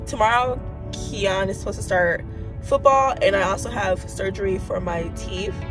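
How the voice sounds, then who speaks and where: A woman at a moderate pace with clear music in the background. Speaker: mom vlogger. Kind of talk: casual vlog chat. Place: car. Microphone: phone near.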